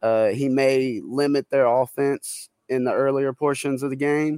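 This man speaks at a fairly slow pace and a medium pitch. He has an unremarkable speaking voice. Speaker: sports betting analyst. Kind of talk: casual sports betting segment.

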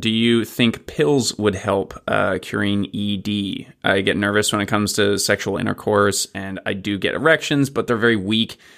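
With a plain, everyday voice, a man talks at a moderate pace and fairly low pitch, with ordinary pitch variation and hardly any pauses. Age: 30s. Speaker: listener submitting a question. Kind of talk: read-out listener question.

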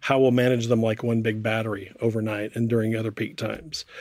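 With an American accent, a man speaks in a monotone, flat intonation. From United States. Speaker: corporate affairs director. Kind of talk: panel discussion.

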